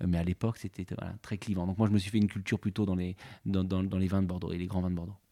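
Very clean and silent in the background, with a dry, close sound and no echo, a man with a very deep, low voice and a dark, mellow tone talks at a very fast pace in a monotone, flat delivery. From Normandy, France. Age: 40s. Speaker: winery technical director. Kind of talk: interview. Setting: on location at a wine estate. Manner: halting, many repetitions and fillers.

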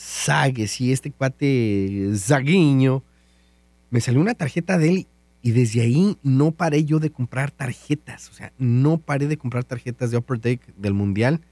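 Dry and close with no echo, a man's medium-pitched voice has a dark, mellow tone, ordinary pitch variation and a fairly slow pace. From Mexico, Guanajuato. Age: 30s. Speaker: radio DJ and podcaster. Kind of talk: casual monologue.

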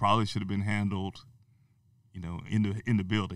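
A man with an American accent, a fairly low pitch and a monotone, flat intonation. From Texas (Amarillo). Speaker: university diversity officer, former teacher. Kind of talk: interview. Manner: many fillers and hesitations.

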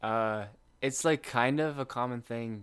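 A man talks at a fairly slow pace with ordinary pitch variation. The recording is very clean, the background silent. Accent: Midwestern American. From Lindsborg, Kansas. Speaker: college sprinter. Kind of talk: casual chat. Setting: home guest room.

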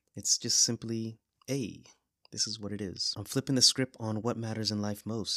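The man's voice sits fairly low and has a bright, sharp tone. The sound is dry and close, with no echo. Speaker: poet and podcast host. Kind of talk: poetry reading, chatty intro and outro. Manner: warm, upbeat, conversational; reads a bit too fast.

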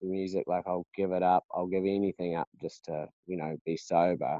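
In a New Zealand accent, a man speaks with fairly even intonation. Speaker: singer-songwriter in recovery. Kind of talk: casual interview. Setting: remote call.

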